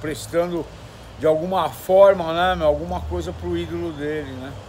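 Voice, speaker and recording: A man speaks over light background noise. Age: 60s. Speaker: former internet TV show host. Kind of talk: casual chat. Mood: reflective, slightly aggrieved. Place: street. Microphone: phone near.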